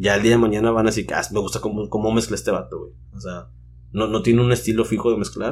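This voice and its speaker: Vocal fry runs through a voice delivered at a fairly quick pace. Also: man. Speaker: DJ. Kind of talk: casual chat.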